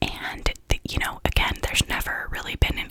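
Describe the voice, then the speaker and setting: Noticeable background noise fills the clip. Beneath it, a woman is whispering. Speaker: ASMR YouTuber. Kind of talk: casual talk to camera about true crime episodes. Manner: whispered.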